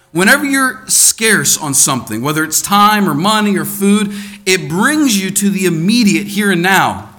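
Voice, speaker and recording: Speaking at a moderate pace with ordinary pitch variation, a man with a high-pitched voice and an American accent projects a raised voice over noticeable background noise and audible room echo. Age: 30s. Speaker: preacher. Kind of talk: sermon. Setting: church.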